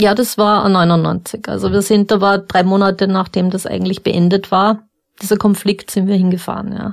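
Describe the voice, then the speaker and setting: At a moderate pace, a woman speaks in a monotone, flat intonation at a medium pitch. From Upper Austria. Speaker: former crime scene investigator. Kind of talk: interview. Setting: studio.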